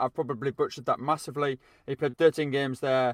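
A man speaks in a normal speaking voice, fairly high for a man, with fairly even intonation and a dry, close sound with no echo. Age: 20s. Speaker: football podcast co-presenter and writer. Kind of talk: casual chat.

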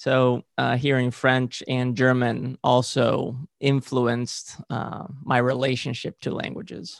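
With a Spanish accent, a man speaks at a very slow pace with hardly any pauses and fairly even intonation, in a dry, close sound with no echo. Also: medium pitch for a man. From Spain (Valencia). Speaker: movement coach, former gymnast. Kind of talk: interview. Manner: halting, frequent uh fillers.

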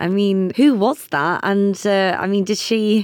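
On a very clean recording with a silent background, a woman with a plain, everyday voice speaks at medium pitch and a fairly slow pace. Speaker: podcast host. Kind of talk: casual chat.

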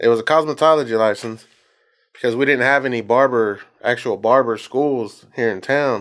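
Over a very clean recording with a silent background, a man speaks with a Texan accent and fairly even intonation. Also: medium pitch for a man, moderate pace. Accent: Texan American. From Texas, Bryan. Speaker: barber. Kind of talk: casual chat.

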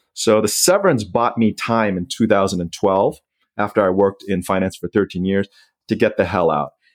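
A plain, everyday voice with an American accent, fairly even intonation and a dry, close sound with no echo. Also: man, fairly low pitch for a man, moderate pace. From Southeast Asia, US Foreign Service family. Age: 40s. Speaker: personal finance author and blogger. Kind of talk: interview.

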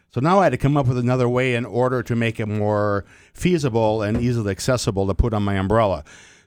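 A man at medium pitch and very fast pace, on a very clean recording with a silent background. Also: ordinary pitch variation. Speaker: sign language interpreter pitching an invention. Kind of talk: product pitch.

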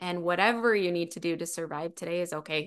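A plain, everyday voice at a moderate pace against a quiet background. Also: woman. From Utah. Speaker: keynote speaker and author. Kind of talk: interview.

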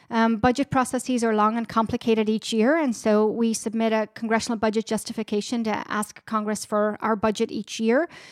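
With an Irish accent, a woman speaks at a fairly quick pace with hardly any pauses and fairly even intonation, the sound dry and close with no echo. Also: fairly high pitch for a woman, very clean recording, silent background. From Ireland, border with Northern Ireland. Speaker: director of public education at a peace institute. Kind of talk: interview.

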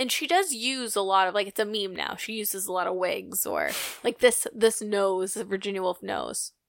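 Her pitch is medium for a woman, and she speaks at a moderate pace. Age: 20s. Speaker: podcast co-host. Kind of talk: casual chat. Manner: animated.

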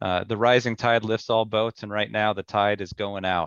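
A man with a normal speaking voice talks at a moderate pace, his pitch fairly low and his intonation fairly even. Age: 40s. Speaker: home builder. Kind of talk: casual chat.

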